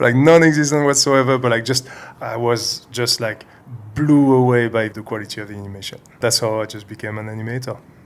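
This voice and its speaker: Speaking at a fairly quick pace, a man keeps a medium pitch and fairly even intonation while his loudness swings widely. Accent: French. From France. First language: French. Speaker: CG animator. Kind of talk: interview. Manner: hesitant, many fillers.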